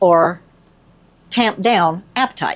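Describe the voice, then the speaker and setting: Lively intonation marks a woman's speech in a Southern US accent. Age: 60s. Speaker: nurse. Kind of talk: casual talk to camera.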